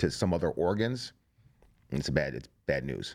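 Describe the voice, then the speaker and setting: A man with an American accent speaks at a moderate pace in a very deep, low voice with vocal fry. The recording is very clean, with a silent background. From Ohio, Cleveland area. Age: 40s. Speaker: plumber, cancer survivor. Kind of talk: interview, personal story. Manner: casual, filler-heavy.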